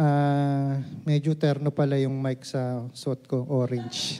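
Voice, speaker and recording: A man's fairly high-pitched voice with a dark, mellow tone. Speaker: lay preacher. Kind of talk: sermon. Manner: halting.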